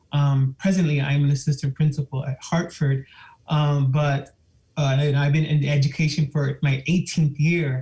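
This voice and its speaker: With a fairly high pitch, a man talks in a monotone, flat intonation, sounding somewhat breathy. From Miami, Florida (Cuban and Puerto Rican family). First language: Spanish. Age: 50s. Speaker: school administrator. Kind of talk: public comment at a board meeting. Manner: halting, with many fillers.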